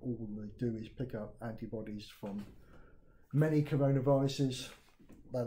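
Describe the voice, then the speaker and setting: Amid light background noise, a man in a southern English accent speaks at a fairly slow pace with a dark, mellow tone, somewhat breathy, with ordinary pitch variation. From southern England. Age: 60s. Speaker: retired IT project manager. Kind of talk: video testimony. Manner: halting, many fillers. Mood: critical, earnest. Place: home room. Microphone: phone near.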